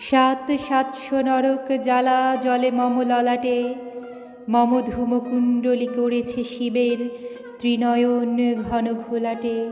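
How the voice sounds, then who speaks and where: A woman's high-pitched, dramatic tone with monotone, flat intonation and very even loudness, over music in the background. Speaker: poetry reciter. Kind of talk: poetry reading. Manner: dramatic, fiery.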